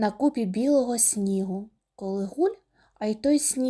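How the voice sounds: The setting is silent behind the speaker. What we hear is a natural reading voice.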